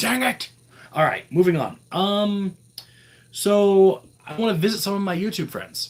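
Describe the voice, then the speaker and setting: A man with an American accent. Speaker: vlogger. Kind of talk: live stream chat. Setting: live stream. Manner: halting.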